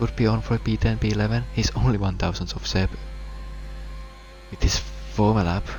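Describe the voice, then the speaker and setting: Over noticeable background noise, a man talks at a fairly quick pace with long, frequent pauses. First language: not English. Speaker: sim racing commentator. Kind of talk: live commentary. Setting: live stream.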